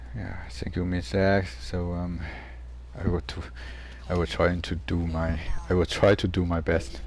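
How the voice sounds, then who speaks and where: In a room with audible echo, a man with a non-native accent speaks at a fairly slow pace in a very deep, low pitch, with ordinary pitch variation and long, frequent pauses. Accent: non-native English accent, self-described. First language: Mandarin. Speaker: gaming streamer. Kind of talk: casual chat. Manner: halting, many fillers and repetitions.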